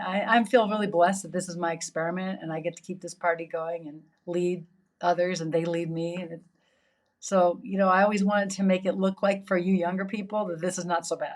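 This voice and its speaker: A woman of medium pitch talks at a fairly quick pace. Her intonation is monotone and flat, with big swings in loudness. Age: 60s. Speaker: yoga teacher. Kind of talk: interview conversation.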